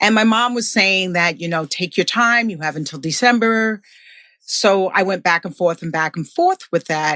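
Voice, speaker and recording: Ordinary pitch variation and a bright, sharp tone come through a dry, close sound with no echo and a quiet background. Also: woman. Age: 60s. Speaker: Marine Corps veteran. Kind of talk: interview, personal life story.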